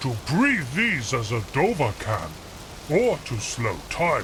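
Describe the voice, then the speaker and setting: A man puts on a character voice at a medium pitch, speaking at a fairly slow pace. Loud background noise fills the recording. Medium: game mod dialogue. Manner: formal, archaic phrasing.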